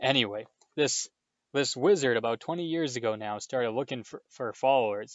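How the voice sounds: Lively intonation marks a natural reading voice heard over a quiet background.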